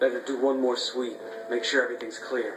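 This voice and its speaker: A man puts on a gruff character voice at a medium pitch, speaking fairly quickly in a monotone, flat intonation, with clear background noise behind him. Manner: gangster-like, gruff.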